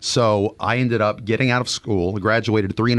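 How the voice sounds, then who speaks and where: A man with an American accent talks at a fairly quick pace. His intonation stays fairly even, and he has an unremarkable speaking voice. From Texas, Dallas-Fort Worth. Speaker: family physician. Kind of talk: interview. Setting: studio.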